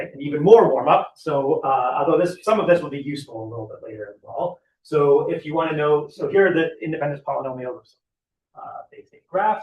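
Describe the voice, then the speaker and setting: A man's fairly high voice, lively in intonation, at a fairly quick pace, with big swings in loudness. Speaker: mathematician, seminar speaker. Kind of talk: lecture. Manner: halting.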